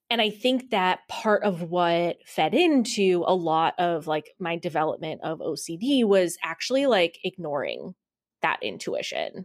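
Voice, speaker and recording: In a normal speaking voice, a woman talks at a fairly slow pace with an American accent. The recording is very clean with a silent background. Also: medium pitch for a woman. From US Midwest. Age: 20s. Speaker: business owner. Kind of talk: casual interview.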